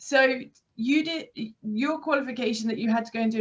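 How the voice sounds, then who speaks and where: A somewhat breathy woman's voice with a British accent, fairly high in pitch, with ordinary pitch variation. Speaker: aqua fitness instructor and interviewer. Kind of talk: casual interview chat. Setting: video call.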